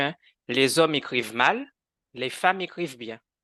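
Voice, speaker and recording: A man speaks in a bright, sharp tone with ordinary pitch variation. The sound is dry and close with no echo against a quiet background. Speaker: guest sharing conversion therapy experience. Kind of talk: podcast interview testimony. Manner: animated, with repetitions and hesitations.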